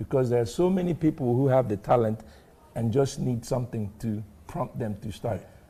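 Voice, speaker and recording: The speaker is a man with a dark, mellow tone and a somewhat breathy delivery. He talks at a moderate pace with lively intonation. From Nigeria, Aba (Igbo), moved to US at 13. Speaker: author and pharmacist. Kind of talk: TV interview.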